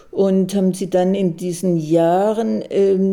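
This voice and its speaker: A woman speaks in a fairly low pitch. Her pace is very slow. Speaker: retired psychiatrist, memorial initiator. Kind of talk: personal account recorded for radio.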